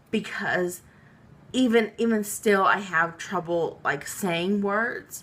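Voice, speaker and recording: A woman speaks very slowly at a medium pitch, with noticeable noise in the background. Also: ordinary pitch variation. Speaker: vlogger recovering from a stroke. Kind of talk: personal vlog. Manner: halting, with many fillers.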